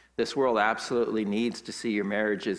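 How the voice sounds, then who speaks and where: An unremarkable speaking voice is heard here. It moves along at a moderate pace. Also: man. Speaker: pastor. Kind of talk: sermon. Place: church.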